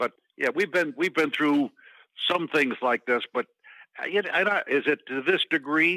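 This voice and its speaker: At a moderate pace with long, frequent pauses, a man with an American accent talks in a fairly high, bright, sharp voice with ordinary pitch variation, the sound dry and close with no echo. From Texas. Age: 80s+. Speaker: golf club inventor and businessman. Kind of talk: podcast interview. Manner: halting.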